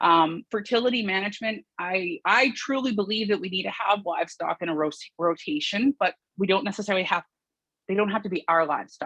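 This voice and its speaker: A woman with a Canadian accent and a bright, sharp tone speaks at a fairly quick pace, the sound dry and close with no echo. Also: medium pitch for a woman, lively intonation. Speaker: farmer. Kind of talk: conference presentation. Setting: video call. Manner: fast.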